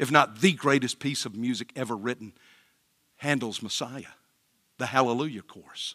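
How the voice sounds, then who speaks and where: A man speaks in a Southern US accent. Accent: US South. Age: 60s. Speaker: pastor. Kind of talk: sermon. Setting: church.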